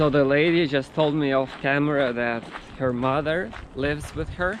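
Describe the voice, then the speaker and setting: A man with a Russian accent speaks in a fairly high pitch at a moderate pace, with fairly even intonation and noticeable background noise. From Siberia, Russia. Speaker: vlogger, PhD student. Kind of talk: travel vlog talking to camera. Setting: outdoors. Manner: halting.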